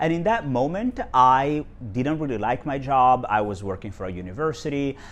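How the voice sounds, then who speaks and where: With an Italian accent, a man talks using lively intonation. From Italy, Genoa. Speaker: video blogger. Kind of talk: casual talk to camera. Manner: hesitant, many fillers.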